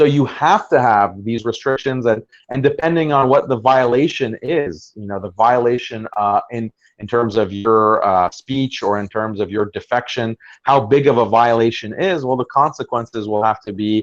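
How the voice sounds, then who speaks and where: Against a quiet background, a man speaks at a medium pitch and a moderate pace with ordinary pitch variation. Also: dry, close sound with no echo. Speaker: Islamic commentator / debater. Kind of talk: podcast discussion. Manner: halting.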